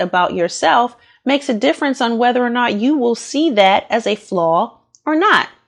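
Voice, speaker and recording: Lively intonation marks this fairly slow delivery in an American accent. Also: woman. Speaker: podcast host. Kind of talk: casual monologue podcast. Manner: loud; animated.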